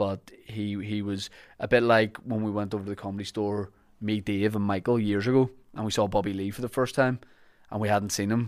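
A man with a Northern Irish accent and a fairly low pitch talks at a fairly quick pace in a monotone, flat intonation, on a very clean recording with a silent background. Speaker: podcast host and comedian. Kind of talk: podcast intro and ad reads.

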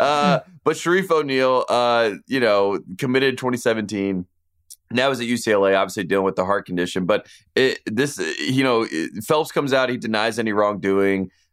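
At a fairly quick pace, a man talks with lively intonation at a medium pitch. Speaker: sports podcast co-host. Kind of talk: casual chat. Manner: mumbles.

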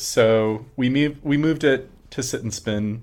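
On a very clean recording with a silent background, a man has a normal speaking voice. He speaks at a fairly slow pace with ordinary pitch variation. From Arizona. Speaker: artist, musician and drag performer. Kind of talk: casual interview chat.

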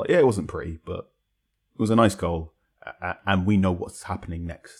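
A man with a very deep, low voice talks at a very fast pace, somewhat breathy, in a very clean recording with a silent background. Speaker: football journalist. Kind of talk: casual chat.

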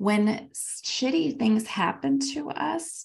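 Speech from a woman, recorded very cleanly against a silent background. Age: 40s. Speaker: podcast co-host. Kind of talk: casual chat. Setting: call with co-host.

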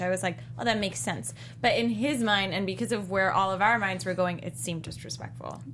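Speaking at a fairly quick pace, a woman has a bright, sharp tone, medium pitch, very wide pitch swings and vocal fry. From South Africa. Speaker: TV after-show panelist. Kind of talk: casual chat.

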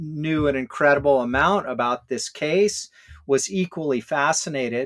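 A man's fairly high-pitched voice with an American accent, a plain, everyday voice at a fairly slow pace, in a dry, close sound with no echo. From Hawaii and California. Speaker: author and scholar. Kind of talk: interview.

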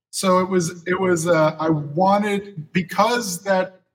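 A man is speaking. He has a Southern US accent. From West Tennessee (Jackson). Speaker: comic book artist. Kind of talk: casual interview.

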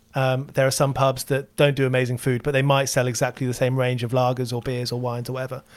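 Very fast and monotone with flat intonation, a man speaks at a medium pitch in a very clean recording with a silent background. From southern England. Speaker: musician and podcast host. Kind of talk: casual interview chat.

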